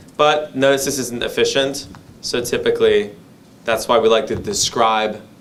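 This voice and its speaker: There is audible room echo as a man talks at a moderate speed. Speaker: data skills instructor. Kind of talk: lecture.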